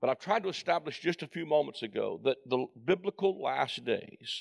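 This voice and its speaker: With vocal fry and lively intonation, a man talks at a moderate pace. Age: 60s. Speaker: preacher and Bible teacher. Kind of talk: sermon. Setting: church with live congregation. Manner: animated.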